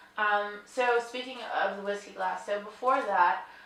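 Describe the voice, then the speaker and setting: Over noticeable background noise and audible room echo, a woman speaks at a medium pitch and a fairly slow pace in a flat monotone. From New York. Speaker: interviewer. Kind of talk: casual interview. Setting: crystal company showroom near Glasgow. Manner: hesitant, many fillers.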